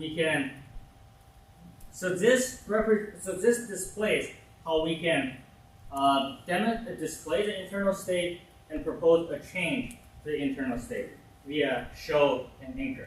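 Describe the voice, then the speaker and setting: Long, frequent pauses break up a man's very slow, high-pitched speech with very wide pitch swings, heard with audible room echo and noticeable background noise. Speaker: workshop instructor. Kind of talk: tutorial.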